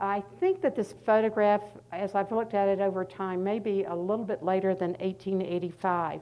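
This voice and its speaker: Speaking with a slight Southern US accent, a woman keeps a moderate pace and medium pitch. Her intonation stays fairly even. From North Carolina, US South. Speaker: art historian and author. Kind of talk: lecture. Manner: halting, many fillers.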